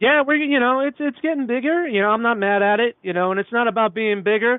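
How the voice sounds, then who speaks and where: He is a man who speaks with a Brooklyn accent. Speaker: toy podcast guest. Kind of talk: casual chat.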